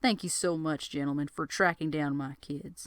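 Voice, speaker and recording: A booming, put-on character voice at middle pitch moves at a moderate pace. The recording is very clean, with a silent background. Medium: read story. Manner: loud, bellowing.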